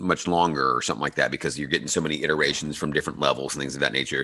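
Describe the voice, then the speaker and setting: A bright, sharp tone with vocal fry. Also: man. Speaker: podcast host and animator. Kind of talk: interview.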